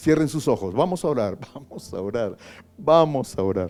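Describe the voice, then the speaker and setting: With music in the background, a man talks at a moderate pace using very wide pitch swings. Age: 60s. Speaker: pastor. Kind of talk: sermon.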